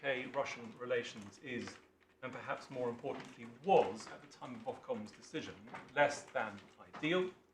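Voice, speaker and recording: With audible room echo, a man speaks in an English accent with lively intonation. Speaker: barrister. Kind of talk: legal submission in court. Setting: courtroom. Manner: formal.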